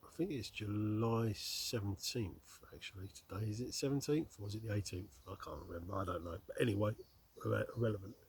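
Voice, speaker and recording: A man with a southern English accent at a fairly quick pace. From southeast England, Slough. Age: 50s. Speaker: outdoor vlogger and delivery driver. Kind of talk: casual vlog monologue. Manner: conversational, hesitant with fillers.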